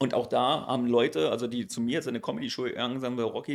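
Very fast male speech at medium pitch with vocal fry, on a very clean recording with a silent background. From Berlin (East). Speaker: stand-up comedian and social media creator. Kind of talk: casual chat.

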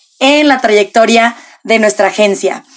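A woman talks with ordinary pitch variation. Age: 20s. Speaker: podcast host. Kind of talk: casual chat.

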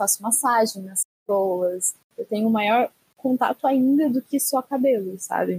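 A woman speaks at a fairly high pitch and a fairly slow pace. Her voice is somewhat breathy, with ordinary pitch variation. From interior of São Paulo state. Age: 20s. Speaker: beauty professional. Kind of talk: casual group discussion.

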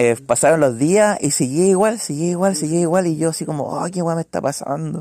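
With hardly any pauses, a man with a Chilean accent speaks at a fairly high pitch. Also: ordinary pitch variation, fairly quick pace. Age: 20s. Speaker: podcast co-host. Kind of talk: casual chat. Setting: indoor home gathering at night.

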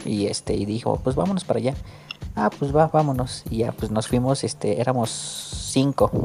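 Background noise is noticeable. Against it, a man talks at a moderate pace. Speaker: podcast host. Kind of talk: casual chat.

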